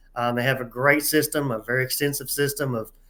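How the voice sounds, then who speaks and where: A man is speaking. He has a Southern US accent. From US South, East Tennessee. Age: 60s. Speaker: pickleball referee. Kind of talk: interview.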